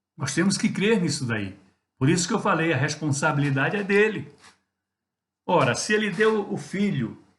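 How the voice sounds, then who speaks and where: Lively in intonation and somewhat breathy, a man speaks at a moderate pace. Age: 60s. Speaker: pastor. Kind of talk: devotional sermon talk. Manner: conversational with hesitations.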